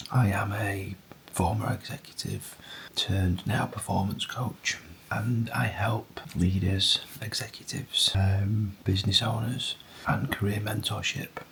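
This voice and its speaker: Noticeable background noise sits behind a man speaking at a fairly low pitch. He keeps a fairly slow pace and fairly even intonation. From northern England, Tottington near Bury, Greater Manchester. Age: 40s. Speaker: performance coach and amateur ultrarunner vlogger. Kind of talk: casual vlog monologue. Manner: whispering.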